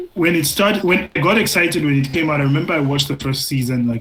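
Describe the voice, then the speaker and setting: Talking at a very fast pace over noticeable background noise, a man speaks with a fairly high pitch and ordinary pitch variation. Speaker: podcast co-host. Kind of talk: casual chat.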